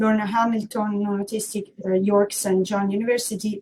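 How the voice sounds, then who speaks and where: A somewhat breathy, dark, mellow voice in an Italian accent, monotone and flat in intonation. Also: woman. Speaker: workshop moderator. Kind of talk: conference moderation. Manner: hesitant, many fillers.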